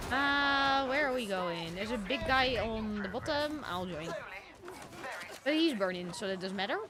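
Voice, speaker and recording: The speaker has an animated tone and a moderate pace. Noticeable background noise runs underneath. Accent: strong Dutch. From Netherlands. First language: Dutch. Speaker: streamer. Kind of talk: live gaming stream chat.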